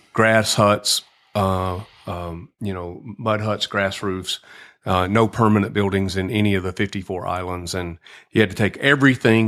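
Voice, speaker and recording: In a Southern US accent, a man talks at a fairly low pitch and a fairly slow pace. His intonation stays fairly even on a very clean recording with a silent background. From US South, lower Alabama. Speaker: nonprofit executive director. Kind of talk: podcast interview. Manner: hesitant, many fillers.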